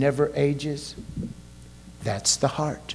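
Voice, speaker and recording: This man's voice sits fairly high in pitch. Room echo can be heard. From Kentucky. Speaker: pastor. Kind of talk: sermon. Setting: church.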